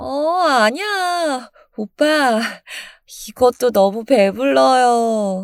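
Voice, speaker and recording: A put-on character voice, nasal and whiny in tone, drags along at a very slow pace. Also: female-sounding voice, high pitch for a woman. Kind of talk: Korean, casual. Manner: cutesy, whiny, aegyo.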